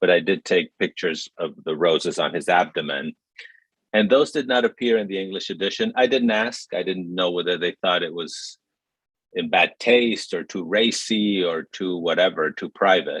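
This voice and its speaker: A man with a Spanish accent talks at a moderate pace. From Mexico City, Mexico. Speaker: writer and film director. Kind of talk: panel conversation. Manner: reflective, halting with fillers.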